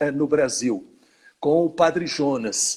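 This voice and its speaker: A man speaks at a fairly slow pace. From Brazil, São Paulo state (Jundiaí / São Paulo). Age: 60s. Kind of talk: interview in a live stream. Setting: online live stream.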